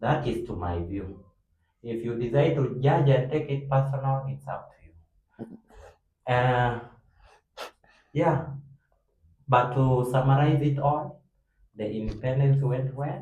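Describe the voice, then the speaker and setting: Through audible room echo, a somewhat breathy voice with a dark, mellow tone moves at a very slow pace, with long, frequent pauses, big swings in loudness and ordinary pitch variation. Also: man, medium pitch for a man. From South Sudan. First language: not English. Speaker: university student, debate club member. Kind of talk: casual group discussion.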